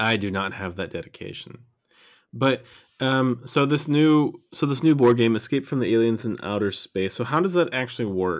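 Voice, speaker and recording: A man with an American accent uses a plain, everyday voice at medium pitch, talking at a moderate pace with lively intonation on a very clean recording with a silent background. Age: 30s. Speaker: podcast co-host. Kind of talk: casual chat.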